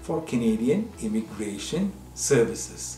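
The speech comes at a fairly slow pace, with audible room echo and faint music in the background. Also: man. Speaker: news presenter. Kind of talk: news presentation. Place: studio.

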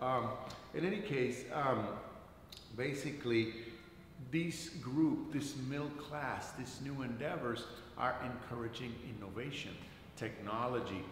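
Amid audible room echo and light background noise, a man speaks fairly slowly with ordinary pitch variation and long, frequent pauses. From Caribbean island. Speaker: art history teacher. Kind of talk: lecture. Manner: halting, many fillers. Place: classroom. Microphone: camera far.

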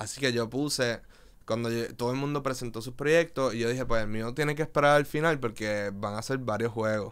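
With ordinary pitch variation, a man talks fairly quickly while the background stays quiet. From Puerto Rico, Río Piedras; Puerto Rico. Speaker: visual artist and DJ; podcast guest. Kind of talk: casual interview chat. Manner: halting, many fillers. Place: studio. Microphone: studio mic.

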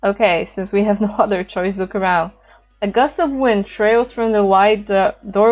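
Reading aloud in a natural voice, intonation fairly level

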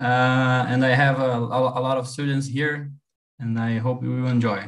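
Monotone, flat intonation marks a man's medium-pitched voice as he speaks very slowly. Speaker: university professor. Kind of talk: lecture. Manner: halting.

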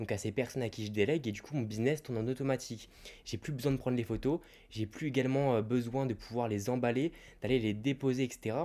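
A man's voice at a fairly quick pace, dark and mellow in tone, with fairly even intonation. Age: 20s. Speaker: YouTuber and online reseller; YouTuber, online reseller. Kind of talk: YouTube advice monologue. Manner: casual, direct address. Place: home room. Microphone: handheld.

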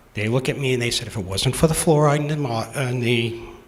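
A man with an American accent speaks with ordinary pitch variation amid noticeable background noise and audible room echo. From Massachusetts. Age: 60s. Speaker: town resident. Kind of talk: public comment at town meeting. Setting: town meeting hall.

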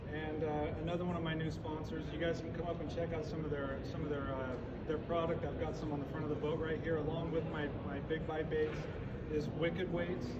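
A man speaks at a fairly quick pace. Loud background noise is present. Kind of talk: seminar talk to audience. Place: hall. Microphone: camera far.

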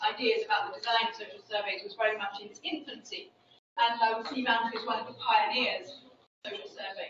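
A woman's voice comes through audible room echo and noticeable background noise. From United Kingdom. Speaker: social science researcher. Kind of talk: lecture. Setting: seminar room with audience. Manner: fast talker. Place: hall.

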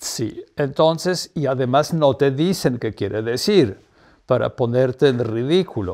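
The background is quiet as a man speaks with a Polish accent at a fairly slow pace. His tone is dark and mellow, and his intonation is lively. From Poland. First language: Polish (speaking Spanish). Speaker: artist's partner and promoter; interviewee. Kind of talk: interview. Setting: at home. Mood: warm, amused reminiscing. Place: home room. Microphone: lapel.

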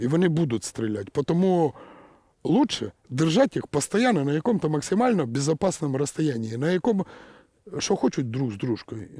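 A man's fairly high voice with a dark, mellow tone and very wide pitch swings, at a moderate pace in a dry, close sound with no echo. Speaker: satirical news commentator. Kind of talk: satirical commentary. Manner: sarcastic.

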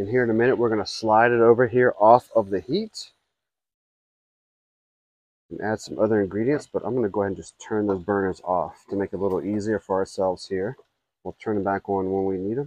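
In an ordinary speaking voice, a man talks at a fairly quick pace and fairly low pitch with fairly even intonation, in a dry sound with no echo and a quiet background. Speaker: griddle cook host. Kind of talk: cooking tutorial. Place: garden.

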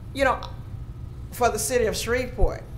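The speaker has a Southern US accent. Light background noise is present. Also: woman. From Louisiana. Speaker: commission board member; member of the public giving comment. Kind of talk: public meeting debate. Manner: animated. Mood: earnest, mildly frustrated. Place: hall. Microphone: podium.

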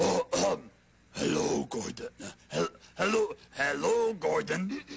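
A raspy, put-on character voice from a man, drawn out at a very slow pace. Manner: imitated woman's voice.

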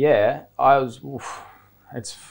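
Male voice, Australian accent. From Australia, Byron Bay. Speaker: professional surfer; interview guest. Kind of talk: casual chat. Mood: relaxed, reflective. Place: studio. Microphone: lapel.

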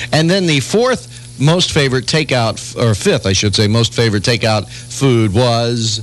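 A man with lively intonation at a fairly slow pace, dry sound with no echo, and faint music in the background. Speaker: radio morning show host. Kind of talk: radio morning show banter and trivia. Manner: chatty, jovial. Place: studio. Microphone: old recording.

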